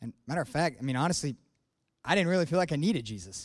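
On a very clean recording with a silent background, a man talks at a very fast pace with a high pitch. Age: 20s. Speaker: air force officer giving church testimony. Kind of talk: testimony. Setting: church stage with congregation.

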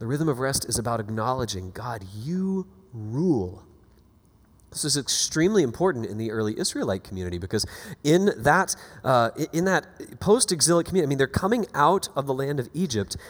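With an animated tone and very wide pitch swings, a man at medium pitch talks at a fairly quick pace. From US South, Florida Panhandle. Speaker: pastor and author. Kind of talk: sermon. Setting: church.

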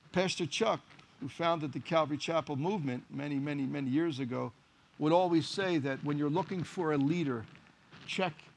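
A fairly quick man with a Philadelphia accent, fairly high-pitched, with ordinary pitch variation. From US Northeast (Philadelphia, Kensington). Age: 50s. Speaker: pastor and boxing trainer. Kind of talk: sermon.

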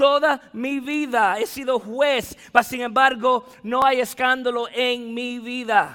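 A man's voice is raised and projected. His pitch is extremely high. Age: 40s. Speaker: pastor. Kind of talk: sermon. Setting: church.

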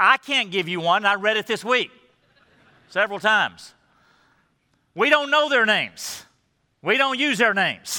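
A man uses a raised, projected voice at a high pitch with a bright, sharp tone and lively intonation. He keeps a moderate pace with long, frequent pauses. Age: 60s. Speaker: pastor. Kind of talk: sermon. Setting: church service.

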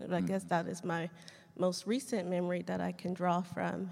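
A woman with an American accent speaks at a moderate pace in a fairly low pitch, with monotone, flat intonation and vocal fry. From Southern California, Riverside. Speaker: teacher. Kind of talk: panel discussion.

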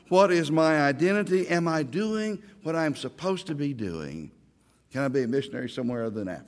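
Lively in intonation and fairly quick, a man speaks at a fairly high pitch with an Oklahoma accent. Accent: Oklahoma Southern US. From Oklahoma (Ardmore, Oklahoma City). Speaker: Baptist pastor. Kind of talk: sermon. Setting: church or chapel with audience.

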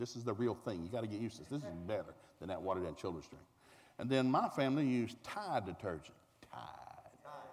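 A man with a Southern US accent talks at a very fast pace with vocal fry. His medium-pitched voice swings very widely in pitch. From Tulsa, Oklahoma. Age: 60s.

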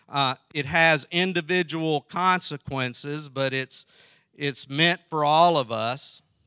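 With a Southern US accent, a man speaks at a very slow pace and a fairly high pitch, his bright, sharp tone showing ordinary pitch variation, in a very clean recording with a silent background and a dry, close sound with no echo. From South Carolina. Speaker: pastor and theological college president. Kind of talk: sermon. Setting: early morning Bible study with audience.

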